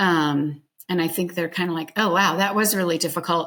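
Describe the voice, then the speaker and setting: A woman speaks at a moderate pace with a fairly low pitch and fairly even intonation, in a very clean recording with a silent background. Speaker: school audiologist. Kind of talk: interview. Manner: self-described loud.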